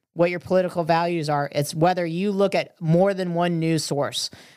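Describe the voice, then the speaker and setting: At a moderate pace, a woman with an American accent talks in a fairly low voice with fairly even intonation. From Florida, Merritt Island. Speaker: restaurant owner and chef. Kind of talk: casual interview chat. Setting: studio.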